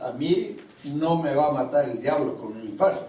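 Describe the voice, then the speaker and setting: Through noticeable background noise and audible room echo comes a man's fairly high-pitched voice. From Latin America (Costa Rica, Colombia, Guatemala). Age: 70s. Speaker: apostle, preacher. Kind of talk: sermon.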